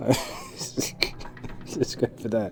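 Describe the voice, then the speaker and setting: A man speaks with a British accent. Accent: British accent, noticeable. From Britain. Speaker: game streamer. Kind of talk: reading aloud gamebook text with casual stream chat. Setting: live stream. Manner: halting, stumbling. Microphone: bad audio levels.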